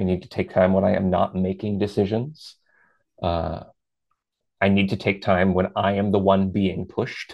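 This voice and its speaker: This man talks at a moderate pace with long, frequent pauses and a fairly low pitch. His loudness stays very even and his intonation is monotone and flat. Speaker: adult performer. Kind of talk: casual interview conversation.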